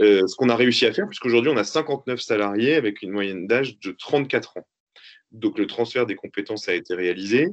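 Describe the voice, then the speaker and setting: A man with a normal speaking voice, medium pitch, ordinary pitch variation and a moderate pace. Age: 30s. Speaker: entrepreneur, company owner. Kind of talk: interview.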